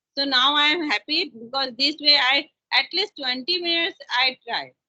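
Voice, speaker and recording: With an Indian accent, a woman talks at a fairly slow pace in a high pitch. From India, Chhattisgarh (Raipur). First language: Hindi. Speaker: teacher learning English. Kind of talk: casual conversation practice. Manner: halting.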